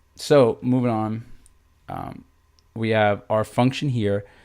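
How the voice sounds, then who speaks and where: In a very clean recording with a silent background, a man with fairly low pitch and ordinary pitch variation has a plain, everyday voice. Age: 30s. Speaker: math teacher. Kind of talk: livestream tutorial. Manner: casual, filler-heavy.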